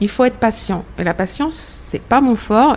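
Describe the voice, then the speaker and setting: A woman with lively intonation at a moderate pace, over noticeable background noise. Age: 50s. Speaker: cancer survivor, association volunteer. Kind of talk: round-table discussion.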